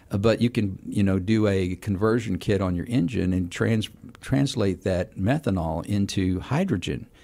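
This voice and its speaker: A man speaks with a dark, mellow tone at a fairly low pitch. His pace is moderate and his pitch varies in an ordinary way. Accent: Texan. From Houston, Texas. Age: 60s. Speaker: city council member. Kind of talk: radio interview.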